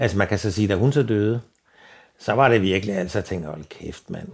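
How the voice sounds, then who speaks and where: A man with a fairly low pitch and a somewhat breathy voice talks at a fairly quick pace with ordinary pitch variation in a very clean recording with a silent background. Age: 70s. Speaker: blind retiree. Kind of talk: interview. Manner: halting, many fillers and repetitions.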